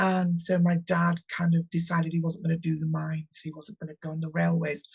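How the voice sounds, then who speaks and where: Somewhat breathy speech with a northern English accent at a moderate pace, in a dry, close sound with no echo. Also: woman. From northern England, West Yorkshire (Huddersfield). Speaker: tarot reader. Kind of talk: interview. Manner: halting.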